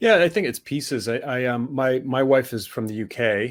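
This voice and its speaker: A man with a strong American accent and ordinary pitch variation. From United States. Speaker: author and business communication trainer. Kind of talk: interview. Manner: halting, many repetitions and fillers.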